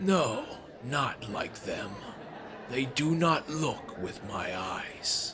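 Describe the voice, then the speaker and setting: Using a put-on character voice, a man talks at a very slow pace with a fairly high pitch over clear background noise. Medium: read story. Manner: grave, slow, brooding.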